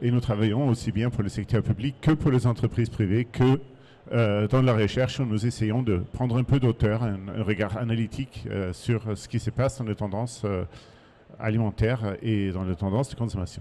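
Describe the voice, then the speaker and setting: A man's dark, mellow tone at medium pitch, with fairly even intonation and a moderate pace. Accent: German. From Germany. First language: German (speaking French). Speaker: market research consultant. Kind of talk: conference talk. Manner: hesitant, many fillers.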